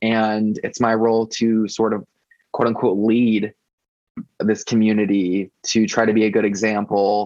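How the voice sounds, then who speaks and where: In a plain, everyday voice, a man talks at a fairly slow pace with fairly even intonation and a fairly low pitch. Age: 30s. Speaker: website founder and pop music blogger. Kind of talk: podcast interview.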